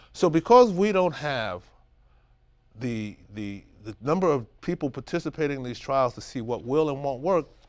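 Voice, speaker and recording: A man with an American accent speaks at a moderate pace in a fairly high voice, his intonation lively and his loudness swinging widely, on a very clean recording with a silent background. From Brooklyn, New York (Bed-Stuy). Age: 60s. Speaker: caregiver for wife with Alzheimer's. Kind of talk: interview. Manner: animated.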